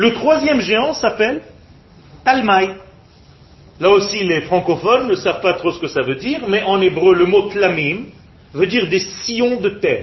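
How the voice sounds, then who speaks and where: Amid noticeable background noise, a man with a high voice speaks at a fairly slow pace, with lively intonation and long, frequent pauses. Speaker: religious teacher. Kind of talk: lecture.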